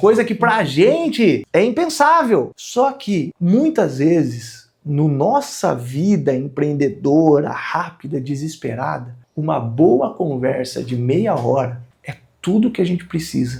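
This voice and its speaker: A man talks very slowly at a fairly high pitch, with hardly any pauses. His intonation is lively. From Brazil, interior of São Paulo state (Piracicaba). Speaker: entrepreneur and business content creator. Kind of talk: casual talk to camera about business. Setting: recording session with a film crew.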